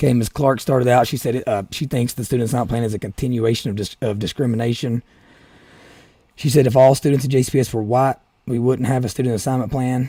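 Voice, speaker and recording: A very fast, medium-pitched man's voice with an Appalachian accent, fairly even intonation and a dark, mellow tone. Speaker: political podcaster. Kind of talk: solo podcast commentary. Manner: halting, many restarts.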